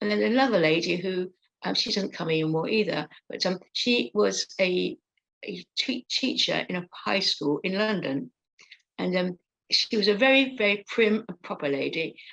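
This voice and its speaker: A woman speaks at medium pitch and a moderate pace, her intonation lively. Her voice carries vocal fry, and the sound is dry and close with no echo. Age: 60s. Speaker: stroke support group leader and stroke survivor. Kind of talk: interview, personal account. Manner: halting, many fillers.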